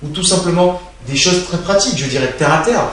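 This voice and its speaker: Noticeable background noise sits under a man who talks at a fairly quick pace with ordinary pitch variation. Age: 20s. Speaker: financial consultant. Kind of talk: interview answer.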